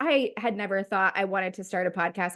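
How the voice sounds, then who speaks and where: A woman talks at a moderate pace in a plain, everyday voice with ordinary pitch variation. The background is quiet. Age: 30s. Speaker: nurse and clinical instructor, podcast co-host. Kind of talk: casual chat.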